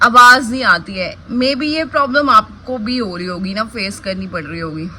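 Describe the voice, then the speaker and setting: A woman with a fairly high pitch speaks with lively intonation over noticeable background noise. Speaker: village life vlogger. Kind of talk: casual vlog talk. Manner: usually slow, trying to speak louder.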